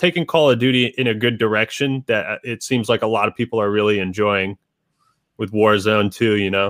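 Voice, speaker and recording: A man with an American accent speaks in an ordinary speaking voice at a medium pitch and a moderate pace. His pitch variation is ordinary, and the sound is dry and close with no echo. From Washington State, Seattle area. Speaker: YouTube game reviewer. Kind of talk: casual interview chat. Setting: video call via webcam.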